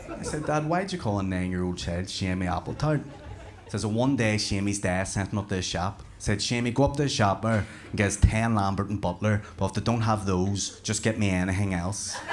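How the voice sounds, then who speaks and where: With a Northern Irish accent, a man talks at a fairly quick pace. His pitch is fairly low and varies in an ordinary way. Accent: Northern Irish (Belfast). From Belfast, Northern Ireland. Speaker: stand-up comedian. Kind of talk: stand-up comedy performance.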